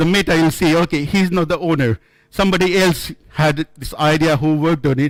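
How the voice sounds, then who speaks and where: This man with an Indian accent talks at a fairly quick pace in a high voice, with ordinary pitch variation. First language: not English, Indian language. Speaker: software developer, conference speaker. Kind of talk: conference talk. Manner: halting, with repetitions.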